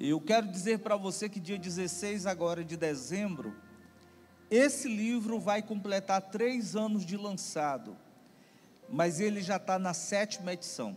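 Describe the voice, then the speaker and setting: Over music in the background, a man with a high pitch speaks at a fairly slow pace, his pitch varying in an ordinary way. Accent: Fortaleza. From Brazil, Fortaleza (Ceará, Northeast). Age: 40s. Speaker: pastor and family ministry speaker. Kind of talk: sermon. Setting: church conference with audience.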